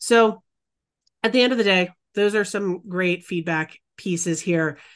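In a normal speaking voice, a woman talks at a moderate pace and medium pitch, her pitch varying in the usual way against a quiet background. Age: 40s. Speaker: podcast co-host. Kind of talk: casual chat.

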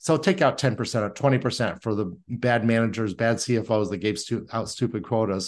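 Over a quiet background, a man with a US Midwestern accent speaks fairly quickly in a medium pitch, with ordinary pitch variation. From Indiana, US Midwest. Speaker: sales consultant and CEO. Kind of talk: interview conversation. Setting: video call.

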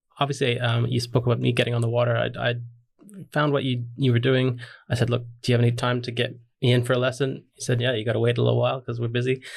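This man's voice sits at a medium pitch and is somewhat breathy. He talks very fast in a flat monotone. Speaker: podcast host. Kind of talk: casual interview.

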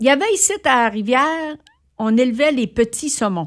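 A woman's high pitch and very wide pitch swings, in a very clean recording with a silent background. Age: 70s. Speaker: community radio founder. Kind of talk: casual interview. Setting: studio.

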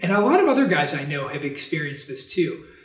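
A man with an American accent speaks at a high pitch. There is audible room echo. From New York / New Jersey, then Texas. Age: 40s. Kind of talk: interview testimony. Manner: cheerful, smiling.

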